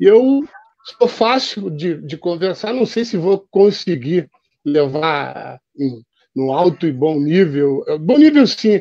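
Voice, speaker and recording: Dark and mellow in tone yet high in pitch, a man is recorded with a dry, close sound with no echo against a quiet background. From Porto Alegre, southern Brazil. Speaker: journalist. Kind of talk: online panel debate.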